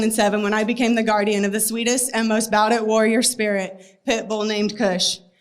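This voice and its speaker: Shaky and very fast, a woman talks at a fairly high pitch. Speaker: animal rescue advocate. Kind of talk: speech read from paper. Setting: stage before a crowd. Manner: shaky, emotional.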